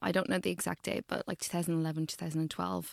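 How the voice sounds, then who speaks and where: The speaker has an Irish accent. The recording is very clean with a silent background and a dry, close sound with no echo. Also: woman. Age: 30s. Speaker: medical doctor and nutritionist. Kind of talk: interview conversation. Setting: in person in Central London.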